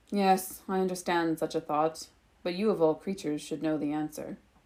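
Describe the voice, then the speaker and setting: A put-on character voice with a rumbling sound, delivered at a moderate pace. The recording is very clean, with a silent background. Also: woman, fairly low pitch for a woman. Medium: read story. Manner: serene, measured.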